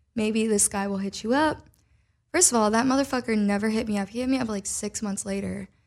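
On a very clean recording with a silent background, a woman with an American accent speaks fairly quickly at a medium pitch in an ordinary speaking voice. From Minnesota, US Midwest. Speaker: singer and mental health advocate. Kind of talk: casual chat.

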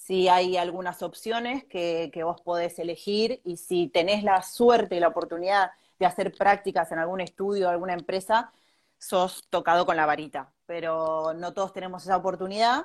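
Moderate-paced speech from a woman at a medium pitch, with fairly even intonation. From Argentina, Bahía Blanca. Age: 30s. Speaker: architect. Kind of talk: interview.

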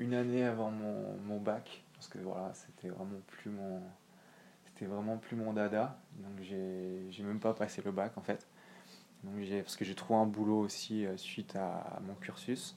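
A man's dark, mellow tone at a fairly slow pace, fairly even in intonation, with long, frequent pauses. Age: 20s. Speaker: real estate investor. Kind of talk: casual chat.

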